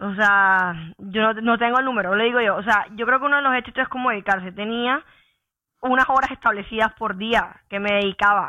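The woman has a plain, everyday voice with a fairly high pitch. She talks at a fairly quick pace with fairly even intonation. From Colombia, Santa Marta (Caribbean coast). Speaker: engineer. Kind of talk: podcast interview.

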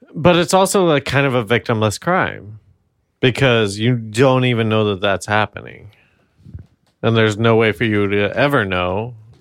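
This man has a plain, everyday voice with an American accent. His pitch is medium and his pace moderate. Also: lively intonation. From New York. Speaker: podcast co-host. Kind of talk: casual chat. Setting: home apartment recording.

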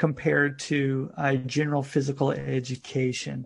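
A somewhat breathy man with an American accent against a quiet background. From United States. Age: 40s. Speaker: fitness coach. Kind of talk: interview.

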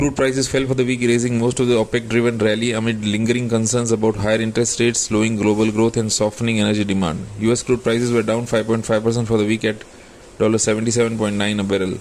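A fairly quick pace, a monotone, flat intonation and very even loudness, with noticeable background noise. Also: man, medium pitch for a man. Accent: Indian. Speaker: market analyst. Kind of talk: newsreading of market report. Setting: recorded podcast. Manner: formal; steady, brisk, even-paced delivery.

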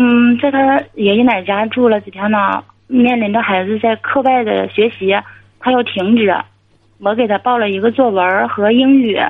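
An unremarkable speaking voice from a woman, fairly high in pitch, with fairly even intonation at a moderate pace. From Inner Mongolia. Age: 40s. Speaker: caller. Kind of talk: advice call-in.

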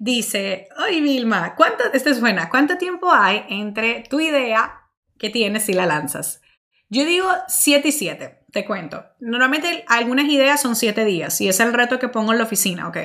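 A woman speaks in a fairly high voice with a bright, sharp, animated tone. Her pitch swings very widely at a fairly slow pace. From Dominican Republic. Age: 30s. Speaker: marketing podcast host and entrepreneur. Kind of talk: solo Q&A monologue.

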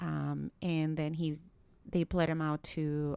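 Someone with a Spanish accent speaks at a fairly slow pace. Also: woman. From Nicaragua. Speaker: public defender. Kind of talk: casual interview conversation.

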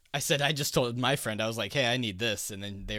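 Speaking at a fairly quick pace, a man uses an ordinary speaking voice at a medium pitch. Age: 20s. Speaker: podcast host and programmer. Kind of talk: casual chat. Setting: remote call with echo.

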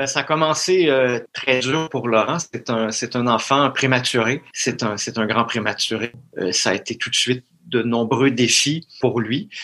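A man speaks in a Quebec accent at a medium pitch and a fairly slow pace. His tone is bright and sharp, with ordinary pitch variation. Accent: Québécois French. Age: 40s. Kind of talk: interview. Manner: halting, frequent word repetitions.

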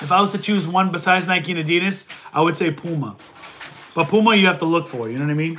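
A high-pitched man rattles along at a very fast pace with ordinary pitch variation over noticeable background noise. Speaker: online reseller answering viewer questions. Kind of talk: casual livestream Q&A. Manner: casual, conversational.

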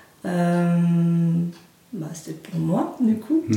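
A woman speaks at a medium pitch with ordinary pitch variation. Audible room echo and noticeable background noise surround her voice. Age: 30s. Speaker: NLP coach. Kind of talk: interview. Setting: her practice office, filmed.

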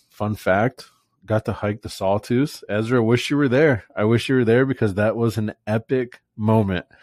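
A man with an American accent uses an ordinary speaking voice at medium pitch with ordinary pitch variation. He goes at a fairly slow pace, in a dry, close sound with no echo. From Florida, Fort Myers/Naples area. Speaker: podcast host, door-to-door salesman. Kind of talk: casual chat.

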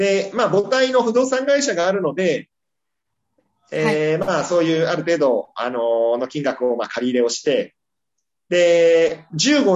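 A man's fairly high-pitched voice at a fairly slow pace, full of very wide pitch swings. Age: 40s. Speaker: real estate company president. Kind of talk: casual interview. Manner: halting, many fillers.

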